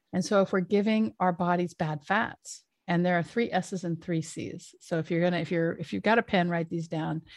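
A woman at a moderate pace with hardly any pauses, fairly low in pitch and fairly even in intonation. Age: 50s. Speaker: retired surgeon and menopause educator. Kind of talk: interview. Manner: halting.

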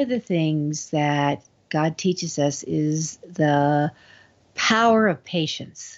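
The speaker goes at a very slow pace. Pitch variation is ordinary. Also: woman. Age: 70s. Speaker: author and book publishing consultant. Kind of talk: interview. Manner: halting.

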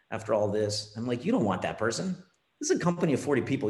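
A man speaks very fast in a room with audible echo. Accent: Canadian. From Canada, Ontario. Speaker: finance executive. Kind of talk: interview.

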